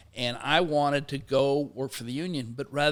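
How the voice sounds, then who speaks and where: This man has an ordinary speaking voice, a fairly high pitch, fairly even intonation and a fairly quick pace, on a very clean recording with a silent background. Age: 60s. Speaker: sociology professor and labor activist. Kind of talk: interview conversation. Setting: studio.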